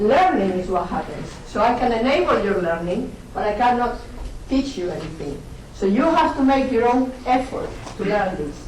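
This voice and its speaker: A woman with a Spanish accent and a fairly high pitch talks at a moderate pace with very wide pitch swings, over noticeable background noise and audible room echo. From Spain. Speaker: university lecturer. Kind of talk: lecture. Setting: lecture hall. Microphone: poor audio quality.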